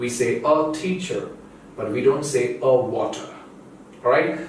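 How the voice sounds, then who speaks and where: Audible room echo and noticeable background noise both run through the clip. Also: man. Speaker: English teacher. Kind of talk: tutorial. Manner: slow.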